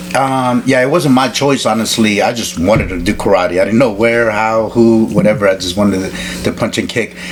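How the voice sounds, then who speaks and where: A man at a medium pitch and fairly quick pace, with ordinary pitch variation and noticeable background noise. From El Salvador, raised in Alexandria, Virginia. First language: Spanish. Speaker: martial artist and stuntman. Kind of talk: interview. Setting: in-person interview. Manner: halting, many fillers.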